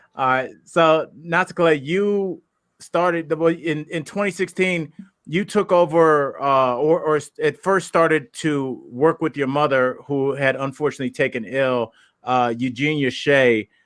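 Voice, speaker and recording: A man with an American accent has a normal speaking voice. He talks at a fairly slow pace with ordinary pitch variation. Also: fairly high pitch for a man. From Ohio. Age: 40s. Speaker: podcast host and comedian. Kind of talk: podcast interview. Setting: podcast.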